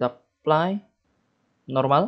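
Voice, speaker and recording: The background stays quiet. A man speaks with ordinary pitch variation. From Indonesia. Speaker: game development tutorial youtuber; game development tutor. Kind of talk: screen-recorded coding tutorial; tutorial. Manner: casual, thinking aloud with fillers. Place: home room.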